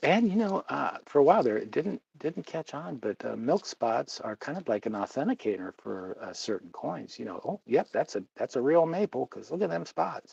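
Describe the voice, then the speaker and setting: A man speaks at a moderate pace with vocal fry and very wide pitch swings. His loudness rises and falls sharply, and the sound is dry and close with no echo. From US Midwest (Ohio). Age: 60s. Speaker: livestreamer on precious metals. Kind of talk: casual livestream chat. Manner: rambling, halting with many fillers.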